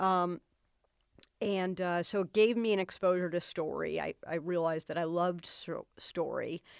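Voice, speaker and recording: An unremarkable speaking voice with an American accent moves at a moderate pace with fairly even intonation. The recording is very clean, with a silent background. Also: woman, fairly low pitch for a woman, dry, close sound with no echo. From Boston, US. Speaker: television writer-producer. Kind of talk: interview.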